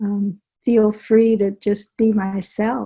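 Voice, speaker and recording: A somewhat breathy woman's voice with a dark, mellow tone and fairly high pitch. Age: 70s. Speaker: author and healing practitioner. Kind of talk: interview.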